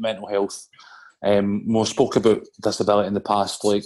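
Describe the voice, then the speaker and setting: In a Scottish accent, a man talks with monotone, flat intonation. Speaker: podcast co-host. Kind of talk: casual chat.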